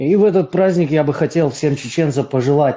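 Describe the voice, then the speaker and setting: With a dark, mellow tone, a man speaks at a fairly high pitch with ordinary pitch variation. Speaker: voice chat participant. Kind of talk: congratulatory speech in an online voice chat. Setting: online voice chat. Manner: hesitant, with fillers.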